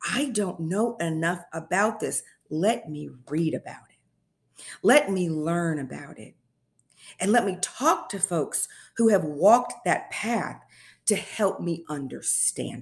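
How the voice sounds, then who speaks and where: Somewhat breathy, a woman with an American accent speaks at a fairly slow pace. The recording is very clean, with a silent background. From Indianapolis, Indiana, US Midwest. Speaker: public health communications director. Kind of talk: interview.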